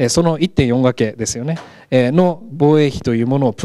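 Against a quiet background, a man with a dark, mellow tone speaks at a moderate pace with lively intonation. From Japan, Gunma. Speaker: professor. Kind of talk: lecture. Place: classroom. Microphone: handheld.

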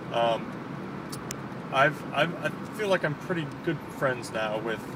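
A man's voice comes through a dry sound with no echo over loud background noise. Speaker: vlogger. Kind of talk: casual vlog chat. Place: car. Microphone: phone near.

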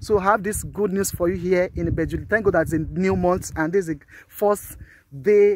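Speaking at a fairly quick pace with a Nigerian accent, a man's high-pitched voice comes through dry with no echo. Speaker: real estate marketer. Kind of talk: sales pitch. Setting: outdoors, walking the estate site. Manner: animated, hard-sell pitchman; repeats key phrases for emphasis. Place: open country. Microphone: phone near.

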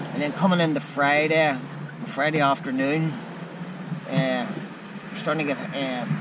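Dry, echo-free sound at a fairly slow pace over loud background noise. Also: man. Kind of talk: casual vlog chat. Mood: frustrated, disappointed. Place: boat. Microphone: phone near.

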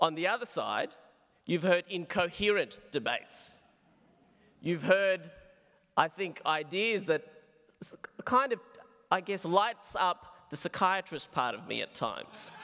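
A high-pitched man with an Australian accent and a bright, sharp tone, fairly slow with long, frequent pauses, ordinary pitch variation, quiet background. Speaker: psychiatrist; speaker. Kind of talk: debate speech; formal debate speech. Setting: stage with audience. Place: hall. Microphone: podium.

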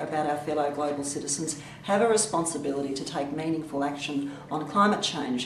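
A woman talks with ordinary pitch variation, with audible room echo and light background noise. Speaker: government minister. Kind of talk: video address. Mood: warm, enthusiastic. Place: office. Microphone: webcam.

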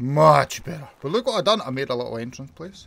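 Very wide pitch swings mark this voice. A man speaks in a Scottish accent. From Scotland. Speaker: gaming YouTuber. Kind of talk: gameplay commentary. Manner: animated.

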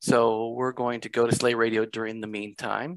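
Against a quiet background, a man with a medium-pitched voice speaks at a moderate pace in a dry sound with no echo. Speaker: live event host. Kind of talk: casual chat. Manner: animated. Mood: amused, friendly. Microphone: headset.

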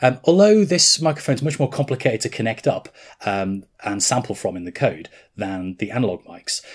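A man's fairly brisk speech stands out against a quiet backdrop. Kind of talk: tutorial. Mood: relaxed, mildly wry. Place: workshop.

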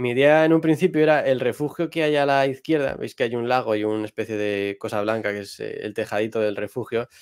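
A man with a Madrid accent at a fairly quick pace, hardly any pauses and ordinary pitch variation, over a quiet background. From Madrid, Spain; Spain. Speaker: astrophotographer; guest. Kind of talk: tutorial. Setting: livestream. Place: home room. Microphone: video call.

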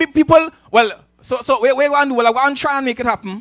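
Against a quiet background, a man talks very fast at an extremely high pitch, with a bright, sharp, animated tone and ordinary pitch variation. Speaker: preacher. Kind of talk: sermon. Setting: church with congregation. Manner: animated, call-and-response; conversational with humor. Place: church. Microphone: handheld.

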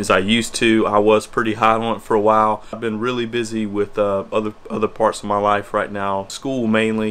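A man speaks at a fairly quick pace in a fairly low pitch, his intonation monotone and flat, with hardly any pauses. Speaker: nurse vlogger. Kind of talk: casual vlog chat. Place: home room.

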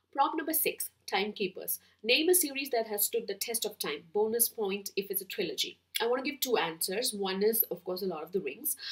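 A woman with an Indian accent talks at a fairly quick pace and a fairly high pitch, with lively intonation over a quiet background. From Kerala, India. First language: Malayalam. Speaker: book vlogger. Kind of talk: casual chat, book tag video. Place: home room.

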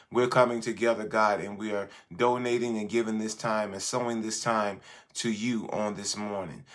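The delivery stays flat and monotone. Little can be heard behind it. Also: man, fairly low pitch for a man, moderate pace. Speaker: bishop leading online prayer. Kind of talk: fervent intercessory prayer, repetitive petitions to God. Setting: live stream with prayer line. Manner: impassioned, rhythmic repetition punctuated by 'God' and 'Lord'; halting, filler-heavy with frequent 'uh' in spoken intro. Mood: earnest, reverent. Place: home room. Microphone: phone near.

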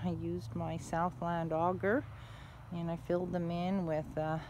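With noticeable background noise but a dry sound with no echo, a woman speaks at a moderate pace. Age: 60s. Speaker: donkey owner, DIY builder. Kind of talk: casual talk to camera. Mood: proud, upbeat. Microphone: phone near.

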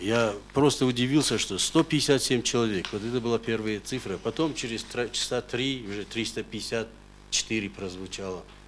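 Light background noise sits behind a man talking at a fairly slow pace. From North Ossetia, Russia. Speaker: court witness, father of a hostage; witness, father of a hostage. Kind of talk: court testimony. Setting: courtroom. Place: hall.

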